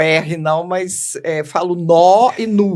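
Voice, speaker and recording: A woman with a fairly low voice and fairly even intonation is heard over noticeable background noise. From Minas Gerais, Belo Horizonte. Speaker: educational manager, book co-author. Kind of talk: podcast interview.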